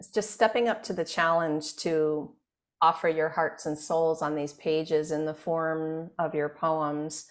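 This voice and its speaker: Her voice is very deep and low-pitched, with a warm, enthusiastic tone. The woman speaks at a fairly slow pace in a very clean recording with a silent background. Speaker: podcast host, publishing company CEO. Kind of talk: podcast interview hosting.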